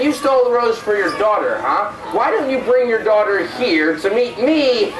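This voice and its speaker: A fairly high-pitched, growling put-on character voice goes at a moderate pace with a slight echo and loud background noise. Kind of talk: comic pantomime storytelling. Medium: stage play. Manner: playfully threatening.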